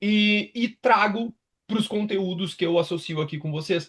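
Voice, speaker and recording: This man talks with a strong gaúcho accent. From southern Brazil, Rio Grande do Sul (Pelotas). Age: 30s. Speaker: sports nutritionist and university professor. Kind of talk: online lecture. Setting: live online class. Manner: casual, filler-heavy.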